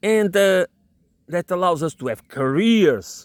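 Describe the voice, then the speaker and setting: On a very clean recording with a silent background, a man talks at a fairly slow pace, the sound dry and close with no echo. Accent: non-native. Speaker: political commentator. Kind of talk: solo monologue. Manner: halting, many repetitions and fillers.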